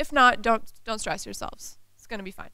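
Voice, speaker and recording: Her voice is a woman's, pitched fairly high. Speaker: UX designer. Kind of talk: conference talk. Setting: stage with audience. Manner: fast.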